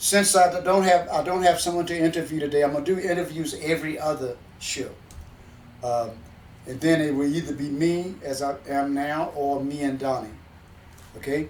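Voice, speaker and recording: Fairly even intonation with long, frequent pauses and audible room echo. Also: man, fairly high pitch for a man, moderate pace. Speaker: musician and show host who entertains seniors. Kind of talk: casual storytelling monologue. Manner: halting, many repeats and fillers.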